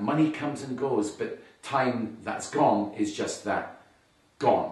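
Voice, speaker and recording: Audible room echo on a male speaker's voice. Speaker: presenter. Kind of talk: direct-to-camera promotional talk. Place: studio.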